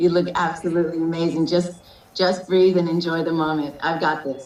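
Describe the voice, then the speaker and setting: The voice keeps a monotone, flat intonation at a moderate pace, with audible room echo and noticeable background noise. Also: woman. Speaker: unofficial wedding officiant. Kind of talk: wedding ceremony address. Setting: video call.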